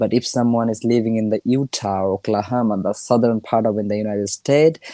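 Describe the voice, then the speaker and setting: Very fast and with fairly even intonation, a man with a Bengali accent speaks in a dark, mellow tone, the sound dry and close with no echo. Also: medium pitch for a man. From India (Bengali-speaking). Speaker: English learner. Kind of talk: casual chat. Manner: halting.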